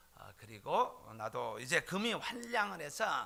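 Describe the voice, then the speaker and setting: Vocal fry runs through a man's fairly high voice, with a bright, sharp tone. He speaks at a very slow pace with very wide pitch swings. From South Korea, Jeolla region. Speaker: pastor. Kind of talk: sermon. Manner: frequent filler hesitations.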